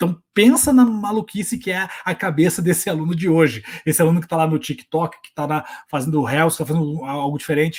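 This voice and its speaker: A man's fairly high voice moves at a fairly quick pace with ordinary pitch variation. His loudness swings widely. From southern Brazil, Curitiba. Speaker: teacher and online educator. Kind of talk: workshop talk. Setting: home recording setup. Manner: fast; animated.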